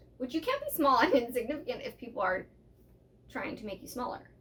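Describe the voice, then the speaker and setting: A woman speaks in a high voice with an animated tone. Noticeable noise sits in the background. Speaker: podcast co-host. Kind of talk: casual chat. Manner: loud.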